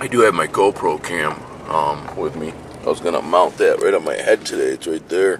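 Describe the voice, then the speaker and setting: A man talks at a moderate pace, with noticeable background noise present throughout. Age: 40s. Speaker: hunting vlogger. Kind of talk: casual vlog narration. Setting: outdoors.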